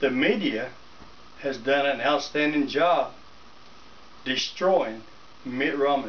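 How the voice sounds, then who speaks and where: With a North Carolina accent, a man speaks at a very slow pace with long, frequent pauses and ordinary pitch variation. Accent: Southern US (North Carolina). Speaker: political vlogger, ordinary citizen. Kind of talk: political rant to camera. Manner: animated. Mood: indignant, opinionated. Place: home room. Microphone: camera far.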